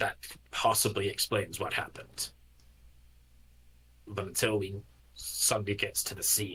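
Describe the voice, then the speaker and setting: A man puts on a character voice at a fairly low pitch. He moves at a moderate pace with long, frequent pauses. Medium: actual play. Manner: controlled, clipped.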